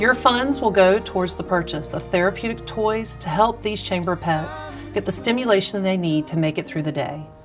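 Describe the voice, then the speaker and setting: With music playing in the background, a woman talks at a moderate pace with hardly any pauses. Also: medium pitch for a woman, lively intonation. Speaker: chamber of commerce president and CEO. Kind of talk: parody charity appeal commercial read. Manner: earnest, pleading.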